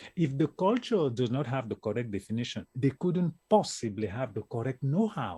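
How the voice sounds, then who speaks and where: A man with an African accent speaks at a moderate pace with hardly any pauses, his somewhat breathy voice dark and mellow in tone, sitting at a medium pitch yet swinging very widely, recorded with a dry, close sound and no echo. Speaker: networking expert. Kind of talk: interview. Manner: animated.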